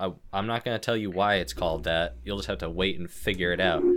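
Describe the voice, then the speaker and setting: A man's very deep, low voice in an animated tone, with music in the background. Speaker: podcast host. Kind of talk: casual banter, comedic podcast intro. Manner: animated, bantering, sarcastic.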